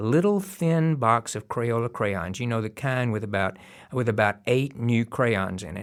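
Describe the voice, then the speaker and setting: A man with a Southern US accent speaks at a medium pitch with lively intonation, on a very clean recording with a silent background. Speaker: storyteller. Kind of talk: storytelling.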